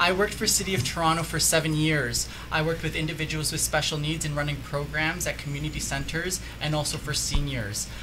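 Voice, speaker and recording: A man with a Canadian accent talks very fast. Music plays in the background, and room echo is audible. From Canada, Mississauga. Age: young. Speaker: political candidate. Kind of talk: radio interview, campaign pitch.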